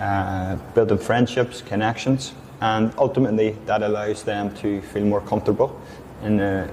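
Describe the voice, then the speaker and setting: A man's monotone, flat delivery in a Northern Irish accent. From Northern Ireland. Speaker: English teacher. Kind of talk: interview.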